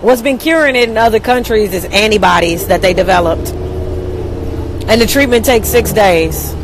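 A woman speaks with ordinary pitch variation. The sound is dry with no echo, and there is noticeable background noise. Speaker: livestreamer. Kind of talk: casual vlog chat. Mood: annoyed, opinionated. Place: bus. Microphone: earbuds.

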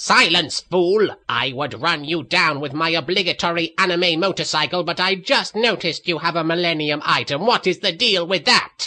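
A man with a high pitch, ordinary pitch variation, a moderate pace and hardly any pauses. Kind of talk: comic parody voice acting. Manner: hammy, villainous, then petulant.

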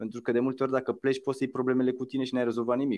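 The speaker is male. There is little background sound. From Romania. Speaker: musician and social entrepreneur; interview guest. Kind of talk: interview. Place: home room. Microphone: video call.

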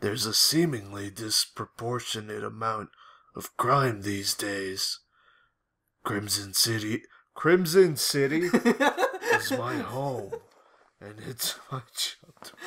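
A man puts on a character voice at a medium pitch. He speaks at a very slow pace with long, frequent pauses. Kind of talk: mock dramatic reading. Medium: game stream. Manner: deliberately monotone, deadpan.

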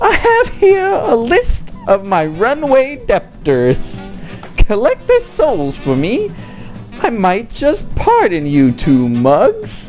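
A put-on character voice at a very slow pace over clear background music. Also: woman. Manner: snickering, sinister.

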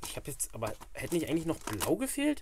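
At a fairly quick pace, a man speaks with very wide pitch swings.

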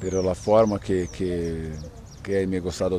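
A dark, mellow voice speaks at a fairly slow pace with fairly even intonation, sounding dry with no echo over light background noise. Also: man. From Brazil. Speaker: footballer. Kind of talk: interview. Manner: halting. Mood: calm, somewhat sad. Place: open country. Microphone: handheld.

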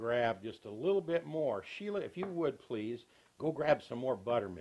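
Using very wide pitch swings, a man with an American accent talks at a fairly slow pace. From US South. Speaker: cooking show host. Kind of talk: tutorial. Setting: home kitchen. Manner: folksy. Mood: cheerful, folksy. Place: kitchen.

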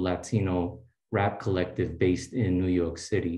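Against a quiet background with audible room echo, a man speaks somewhat breathily at a moderate pace. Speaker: postdoctoral researcher; speaker. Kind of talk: tribute speech. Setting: video call. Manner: warm, casual. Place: home room. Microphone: video call.

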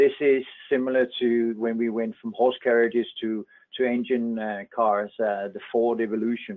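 A man speaks at a moderate pace with fairly even intonation. He has a normal speaking voice. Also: medium pitch for a man. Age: 50s. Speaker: chief economist. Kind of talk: presentation with Q&A. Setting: webinar.

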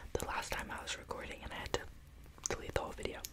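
A woman is speaking. She is whispering. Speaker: ASMR creator. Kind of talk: ASMR video. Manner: whispered. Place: home room. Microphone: phone near.

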